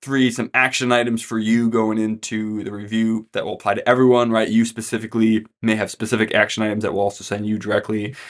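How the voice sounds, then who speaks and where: At a very fast pace with hardly any pauses, a man talks in a medium pitch with monotone, flat intonation. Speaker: financial planner. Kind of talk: client update video talk. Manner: casual.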